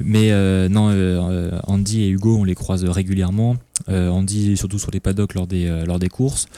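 On a very clean recording with a silent background, a man with a very deep, low pitch and a dark, mellow tone speaks at a fairly slow pace in a monotone, flat intonation. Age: 20s. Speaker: motorcycle racing team staff. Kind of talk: casual chat. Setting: bar.

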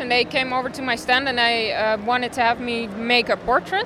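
A woman's high-pitched, raised and projected voice at a fairly slow pace, with noticeable background noise. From Netherlands. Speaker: comic artist. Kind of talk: interview answers in English. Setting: convention.

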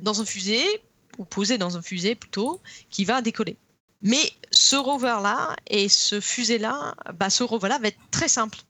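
In an English accent, a woman talks at a fairly slow pace. Her pitch is fairly high, with ordinary variation. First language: English (speaking French). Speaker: geologist. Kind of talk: casual chat. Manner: halting.

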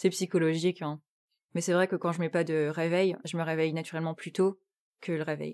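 Over a very clean recording with a silent background, a woman talks at a moderate pace in a monotone, flat intonation, the sound dry and close with no echo. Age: 20s. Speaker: interviewee training in human resources. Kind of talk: personal testimony. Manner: halting, many hesitations and repetitions.

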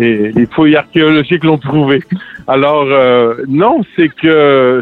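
Over music in the background, a man with a medium pitch talks at a very slow pace with ordinary pitch variation. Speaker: singer-songwriter. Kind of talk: interview. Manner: halting.

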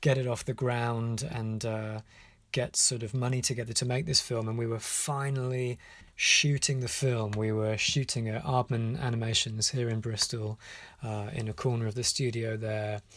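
With a British accent, a man speaks at a moderate pace. His medium-pitched delivery is monotone and flat. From UK. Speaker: animation director. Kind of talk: voicemail message. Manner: hesitant, with many fillers.

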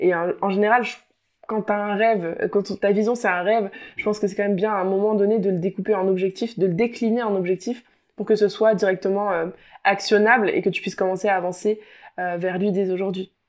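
A woman at a medium pitch, monotone and flat in intonation, over a quiet background. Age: 20s. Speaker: podcast host and life coach. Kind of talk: solo podcast monologue. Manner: hesitant with many fillers.

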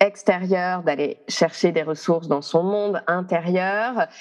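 A woman's fairly low voice holds a fairly even intonation. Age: 30s. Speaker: astrologer. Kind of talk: interview conversation. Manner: hesitant, many fillers.

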